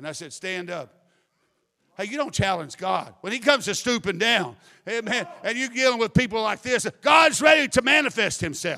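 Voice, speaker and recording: A man speaks in a raised, projected voice with a high pitch and a bright, sharp tone. His intonation is lively, his loudness swings widely, and the recording is very clean with a silent background. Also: moderate pace. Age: 50s. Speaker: preacher. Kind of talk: sermon. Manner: animated.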